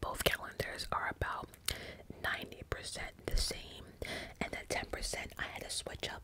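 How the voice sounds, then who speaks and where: Whispering at a fairly slow pace, with noticeable background noise. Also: woman. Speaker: ASMR creator. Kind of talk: casual talk to camera, personal ramble. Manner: whispered, casual, chatty.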